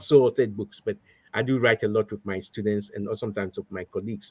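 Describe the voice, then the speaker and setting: At a very fast pace, a man with a Ghanaian accent speaks with fairly even intonation in a dry, close sound with no echo. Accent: Ghanaian accent, kept. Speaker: professor. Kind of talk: interview. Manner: halting, many fillers and repetitions.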